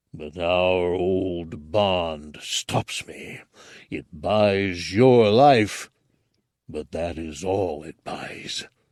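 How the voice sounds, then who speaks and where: Using a put-on character voice, a man growls in a stern tone at a very slow pace. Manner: growling, stern.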